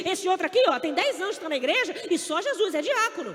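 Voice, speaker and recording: This woman's voice is extremely high, with very wide pitch swings and an animated tone. She talks fairly quickly over noticeable background noise. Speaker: preacher. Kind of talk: sermon. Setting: stage with audience.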